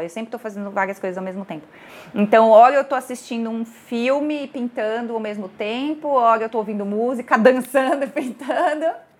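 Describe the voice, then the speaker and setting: A woman with a fairly high pitch speaks at a fairly quick pace, with ordinary pitch variation and big swings in loudness. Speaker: chemical engineer and visual artist. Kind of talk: casual interview chat. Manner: animated.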